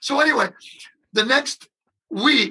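Using a raised, projected voice, a man speaks at a moderate pace. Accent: American. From US Midwest, Detroit. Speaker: drummer. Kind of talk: casual chat.

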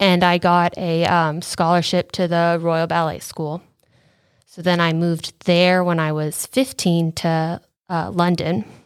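A woman talks at a fairly slow pace in a normal speaking voice, on a very clean recording with a silent background. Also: fairly low pitch for a woman, fairly even intonation. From Southern California. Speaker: ballet dancer. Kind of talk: interview.

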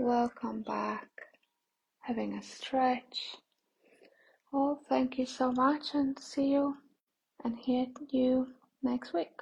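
A woman speaks in a soothing, gentle tone at a very slow pace, with long, frequent pauses. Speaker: meditation guide. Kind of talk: guided meditation. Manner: slow, soothing, gentle pacing with long pauses; calm, soft-spoken, reassuring.

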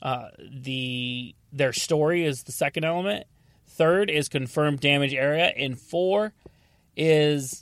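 Using ordinary pitch variation, a man with an American accent speaks in an unremarkable speaking voice at a fairly high pitch. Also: very clean recording, silent background. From North Carolina. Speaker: podcast host, auto damage appraiser. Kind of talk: casual podcast monologue with sponsor read.

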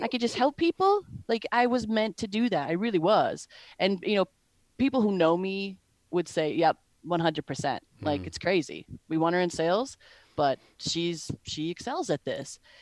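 A woman's normal speaking voice, medium in pitch, with an American accent, lively intonation and a moderate pace, dry and close with no echo on a very clean recording with a silent background. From Wisconsin. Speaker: sales enablement professional. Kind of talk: interview.

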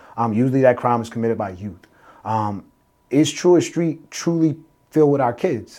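In a normal speaking voice, a man with an American accent talks at a fairly quick pace with lively intonation and medium pitch. The recording is very clean and the background silent. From Salisbury, Maryland (US Mid-Atlantic). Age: 30s. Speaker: mayoral candidate. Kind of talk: interview.

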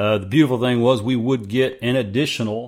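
At a moderate pace, a man with a medium pitch speaks in an ordinary speaking voice. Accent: American. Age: 40s. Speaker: podcast host and entrepreneur. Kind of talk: solo monologue.

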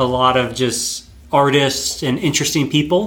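This man has a normal speaking voice, medium pitch and fairly even intonation. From North Carolina, US. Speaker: winemaker. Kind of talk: casual chat. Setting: host's home.

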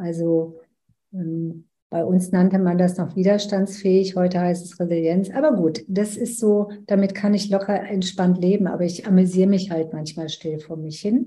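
The voice is somewhat breathy, with a dark, mellow tone, fairly even intonation and a moderate pace. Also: woman, medium pitch for a woman. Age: 70s. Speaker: business coach. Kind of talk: interview.

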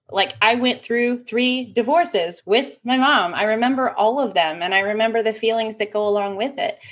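In an ordinary speaking voice, a woman talks at a moderate pace with hardly any pauses, her pitch fairly high with ordinary variation. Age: 30s. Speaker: business systems expert and online events manager. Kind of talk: casual chat.

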